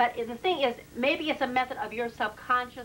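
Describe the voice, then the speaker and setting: Loud and with a bright, sharp tone, a woman speaks at a moderate pace. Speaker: past life regression therapist. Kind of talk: explanatory interview with client.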